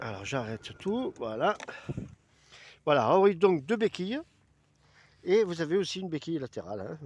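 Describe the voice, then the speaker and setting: The very clean recording, silent behind, captures a man speaking at a moderate pace with very wide pitch swings, his voice dry and close with no echo. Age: 60s. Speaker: video blogger. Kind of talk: product presentation. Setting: outdoors. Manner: casual, hesitant with many fillers.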